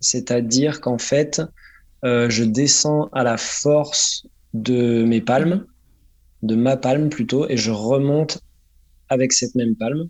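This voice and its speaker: Very slowly, with long, frequent pauses, a man speaks at a medium pitch with ordinary pitch variation. His loudness stays very even. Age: 30s. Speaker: freediver and sports instructor. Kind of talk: interview. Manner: halting.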